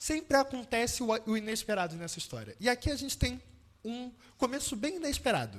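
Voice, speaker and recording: A man's extremely high-pitched voice with lively intonation at a moderate pace. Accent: Rio de Janeiro. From Brazil, Rio de Janeiro. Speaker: preacher. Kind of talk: sermon.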